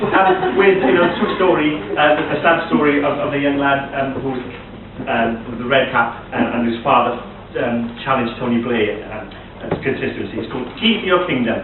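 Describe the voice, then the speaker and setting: With a Welsh accent, a man of fairly high pitch speaks at a moderate pace with lively intonation amid noticeable background noise. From Wales. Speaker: poet. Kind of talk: casual talk to audience between poems.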